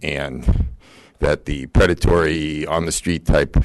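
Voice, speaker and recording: Vocal fry marks this man's voice. His pitch sits very deep and low. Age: 60s. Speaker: public commenter, local party official. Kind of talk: public comment at city council. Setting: city council meeting. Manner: halting, many fillers.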